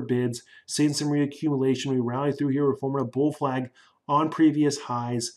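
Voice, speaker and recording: A man speaks at a fairly high pitch in a flat, monotone way. The recording is very clean, with a silent background. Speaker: stock market analyst. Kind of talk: tutorial. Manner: fast.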